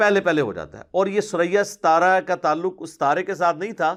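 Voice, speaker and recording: A very clean recording with a silent background captures a man speaking. His pitch is high, with ordinary variation. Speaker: Islamic scholar answering questions. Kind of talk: religious lecture, Q&A session.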